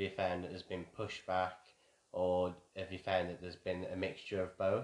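Speaking at a moderate pace, a man with a West Midlands accent has a fairly low pitch. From Wolverhampton, England. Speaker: army veteran, host's husband. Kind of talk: casual chat.

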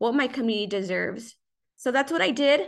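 A woman with an American accent, high in pitch and fairly quick, with fairly even intonation against a quiet background. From Southeast Los Angeles, California. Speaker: city councilwoman and public affairs director. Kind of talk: interview.

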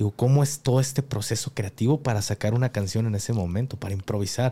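Speaking with a Mexican accent, a man uses a dark, mellow tone at medium pitch, with ordinary pitch variation and a moderate pace. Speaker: podcast host. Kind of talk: casual interview.

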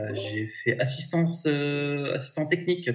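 A somewhat breathy male voice at a fairly slow pace, with ordinary pitch variation. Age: 30s. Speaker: job seeker. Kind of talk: interview.

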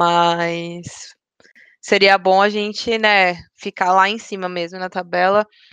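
A woman speaks very slowly at a medium pitch in a flat monotone against a quiet background. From São Paulo, Brazil. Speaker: podcast host. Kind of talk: casual chat.

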